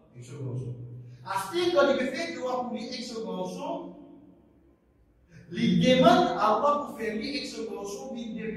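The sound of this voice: A man speaking at a fairly slow pace amid strong room echo.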